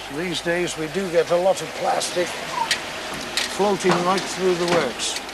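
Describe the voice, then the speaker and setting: Hardly pausing at all, the speaker moves at a very slow pace, the sound dry with no echo amid loud background noise. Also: man. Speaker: sewage works staff. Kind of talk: explanatory interview. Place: factory.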